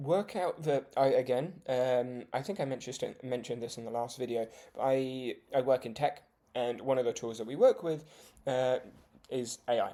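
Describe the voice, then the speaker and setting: With a British accent, this voice moves at a moderate pace. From UK. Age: 20s. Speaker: vlogger, judo beginner. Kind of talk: casual vlog talk. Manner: hesitant, many fillers.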